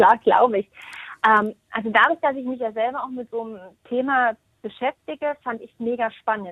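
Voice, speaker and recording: A woman speaks in a normal speaking voice at a fairly high pitch and moderate pace, with ordinary pitch variation and big swings in loudness. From Thuringia, eastern Germany. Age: 30s. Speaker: hairdresser and salon team manager. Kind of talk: interview.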